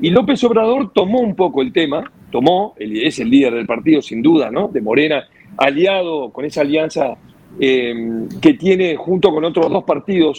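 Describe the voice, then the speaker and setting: A man's pitch swings very widely at a moderate pace, with noticeable noise behind him. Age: 60s. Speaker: radio host. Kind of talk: radio talk show discussion. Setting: radio studio.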